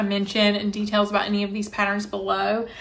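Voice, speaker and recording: Speech comes at a very fast pace in a Southern US accent. Room echo is audible. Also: woman. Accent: Southern US, noticeable. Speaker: cross-stitch vlogger. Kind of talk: casual show-and-tell vlog.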